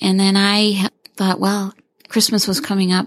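A woman at medium pitch and a moderate pace, an ordinary speaking voice on a very clean recording with a silent background. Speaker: parent of a recovering addict. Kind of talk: casual conversation. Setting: studio.

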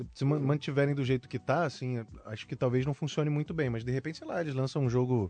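Fairly quick in pace, a man speaks at a medium pitch in a plain, everyday voice. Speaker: voice actor. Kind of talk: casual interview.

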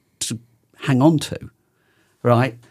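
This very clean recording with a silent background captures a man speaking at medium pitch. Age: 60s. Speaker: outdoor gear company owner. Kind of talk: casual chat.

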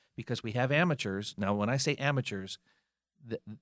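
A man with an American accent uses a normal speaking voice at a medium pitch with ordinary pitch variation. The very clean recording has a silent background and a dry, close sound with no echo. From North Carolina, Fayetteville. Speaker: musician and music event organizer. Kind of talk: interview.

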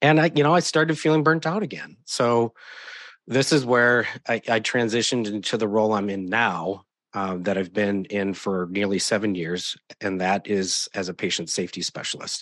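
With an American accent and a normal speaking voice, a man talks at a moderate pace in a fairly low pitch, his intonation lively against a quiet background. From US Midwest, southeast Wisconsin near Milwaukee. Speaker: nurse and patient safety specialist. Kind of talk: interview.

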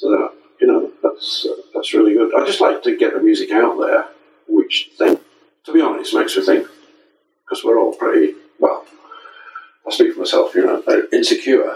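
A man speaks with an English accent at an extremely high pitch. Long, frequent pauses break up his delivery. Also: ordinary pitch variation, moderate pace. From England. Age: 60s. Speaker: saxophonist and music educator. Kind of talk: interview. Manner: halting. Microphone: poor audio over unreliable internet.

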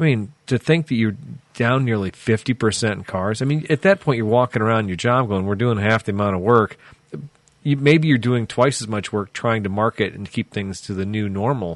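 A man speaks with a Midwestern American accent. His pitch varies in an ordinary way. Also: medium pitch for a man, moderate pace. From US Midwest, central Illinois. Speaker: car podcast co-host. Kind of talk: casual chat.

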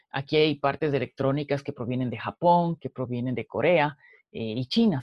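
With an unremarkable speaking voice, a man talks at a moderate pace, his fairly high pitch rising and falling in an ordinary way. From Ecuador, Quito. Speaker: entrepreneur. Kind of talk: interview.

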